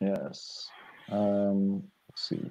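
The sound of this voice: A very slow, low-pitched male voice, dark and mellow in tone, with fairly even intonation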